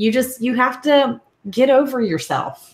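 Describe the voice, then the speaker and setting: Speaking at a very slow pace, a woman uses a high pitch. She talks in a Southern US accent. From US South. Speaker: podcaster, co-host. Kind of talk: live video chat, coaching advice. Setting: live video stream.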